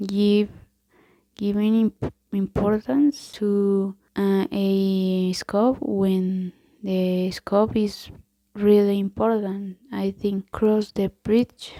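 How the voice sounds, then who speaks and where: This speaker talks at a very slow pace with a Colombian accent. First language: Spanish. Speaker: ASMR creator. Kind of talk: ASMR idiom reading and explanation. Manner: halting; soft-spoken.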